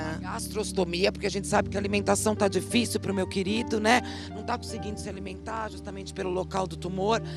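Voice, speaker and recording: A woman is speaking over clear music in the background. The sound is dry, with no echo. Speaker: TV reporter. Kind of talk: TV news report. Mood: serious, concerned. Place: street. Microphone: handheld.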